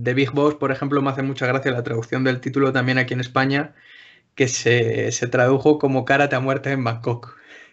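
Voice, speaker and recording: Monotone and flat, a man of medium pitch speaks at a fairly quick pace. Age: 20s. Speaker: podcast panelist. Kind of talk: casual chat.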